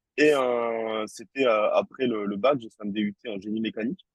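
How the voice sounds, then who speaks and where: A man at a medium pitch, with ordinary pitch variation and a fairly slow pace. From southern France, Toulouse. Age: 30s. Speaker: tattoo artist. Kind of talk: interview. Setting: podcast. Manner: hesitant, many fillers and repetitions.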